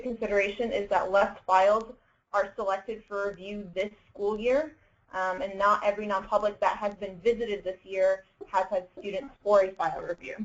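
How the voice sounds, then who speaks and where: A woman with an unremarkable speaking voice, medium pitch, fairly even intonation and moderate pace. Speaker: education agency staff presenter. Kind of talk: webinar presentation. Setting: online webinar.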